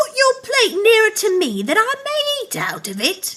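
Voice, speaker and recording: Using a squeaky, put-on character voice at an extremely high pitch, a woman speaks at a moderate pace. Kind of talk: bedtime story. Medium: read story.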